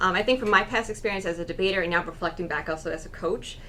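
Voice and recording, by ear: A woman speaks at a very fast pace. Her pitch is fairly low.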